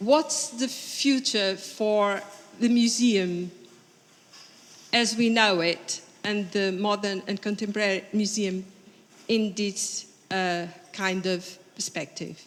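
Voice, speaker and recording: With a Portuguese accent, a woman speaks very slowly at medium pitch, with ordinary pitch variation and long, frequent pauses. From Portugal. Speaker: conference audience member. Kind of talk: Q&A question at conference. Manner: halting.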